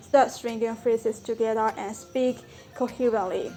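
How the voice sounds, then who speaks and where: A woman with a Burmese accent and a fairly high pitch, music in the background. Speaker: language-learning vlogger. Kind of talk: tutorial.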